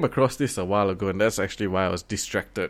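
The background is silent on this very clean recording of a man. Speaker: podcast co-host. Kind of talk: casual chat.

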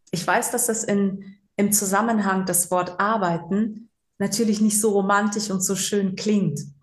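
A woman's somewhat breathy, fairly slow delivery, monotone and flat, at very even loudness with audible room echo. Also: medium pitch for a woman. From Germany, Cologne. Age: 40s. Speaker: psychological counselor. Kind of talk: interview.

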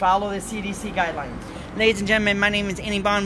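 With an American accent, a man uses a raised, projected voice that is high in pitch and bright, sharp in tone. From Appleton, Wisconsin. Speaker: podcast host. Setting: live at a brew pub premiere event.

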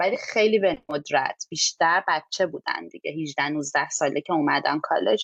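The sound is dry and close with no echo. A woman talks at a moderate pace. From Iran. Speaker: immigrant sharing experience. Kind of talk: podcast interview.

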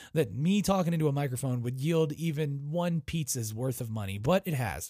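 A man talks at a moderate pace with a somewhat breathy voice and lively intonation. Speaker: podcast host, former airport manager. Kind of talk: casual solo podcast monologue. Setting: home recording in bedroom. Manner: casual, profane, filler-heavy.

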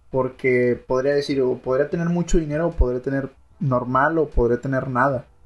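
At a moderate pace and medium pitch, a man talks in an unremarkable speaking voice with fairly even intonation. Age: 20s. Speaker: university student podcast co-host. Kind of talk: casual chat.

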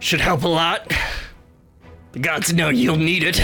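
A raspy, put-on character voice sits at a middle pitch and moves at a moderate pace. Music plays faintly in the background. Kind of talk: fantasy proclamation. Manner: proud, hearty, grandiose.

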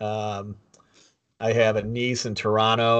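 The speaker is a man with a medium-pitched voice. He talks at a moderate pace. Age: 50s. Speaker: podcast co-host. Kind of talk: casual chat.

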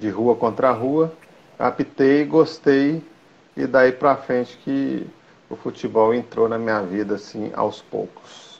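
Pitch varies in an ordinary way. The delivery is very slow. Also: man, medium pitch for a man. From Minas Gerais, Brazil (Belo Horizonte). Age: 40s. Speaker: football referee and nurse. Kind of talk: interview, casual chat. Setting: video call.

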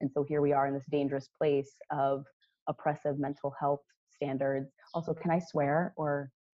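A woman speaks at a moderate pace in a very deep, low pitch, her intonation monotone and flat and her loudness very even. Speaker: clinical social worker. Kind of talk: casual interview chat. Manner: quiet.

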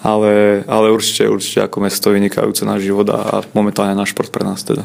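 A man's fairly low voice, fairly quick and flat in a monotone. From Slovakia. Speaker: handball goalkeeper. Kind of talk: interview. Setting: hotel.

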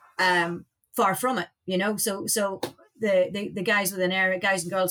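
Spoken in an Irish accent at a moderate pace, the voice keeps a fairly even intonation. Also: woman. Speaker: aviation safety director, former air traffic controller. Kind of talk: interview. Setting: studio.

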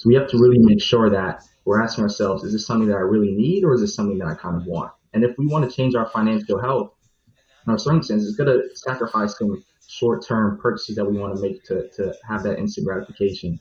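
A man with a medium pitch and an American accent speaks very fast, somewhat breathy, with ordinary pitch variation. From New York. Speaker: financial analyst. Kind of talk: panel discussion.

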